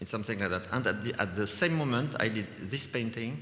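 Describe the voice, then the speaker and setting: A man speaks at a moderate pace with a bright, sharp tone and fairly low pitch. His pitch variation is ordinary, and audible room echo surrounds him. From France, Vendée. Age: 60s. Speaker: visual artist. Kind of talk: lecture. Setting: stage with audience. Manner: halting.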